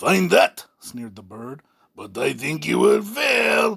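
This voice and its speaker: Putting on a character voice, a man talks at a fairly slow pace. His voice is raspy and high-pitched. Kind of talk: audiobook reading with character voices. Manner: sneering.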